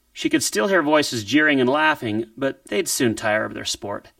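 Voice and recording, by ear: The recording is reading aloud in a natural voice.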